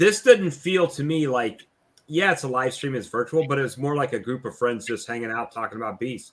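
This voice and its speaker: A man with an ordinary speaking voice, medium pitch and lively intonation, at a fairly quick pace. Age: 50s. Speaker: beekeeping YouTuber hosting a live stream. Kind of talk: casual chat. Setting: live stream video call.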